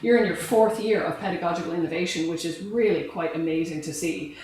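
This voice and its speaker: At a very fast pace, a woman with a fairly low pitch talks in fairly even intonation amid noticeable background noise and audible room echo. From Ireland and Canada. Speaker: professor. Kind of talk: lecture. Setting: lecture room with audience.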